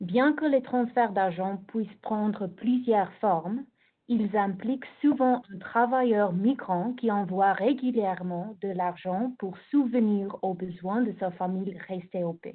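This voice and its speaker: Speech from a woman comes very slowly. The variation in her pitch is ordinary. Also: medium pitch for a woman. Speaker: researcher presenting a report. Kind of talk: presentation. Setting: video call webinar.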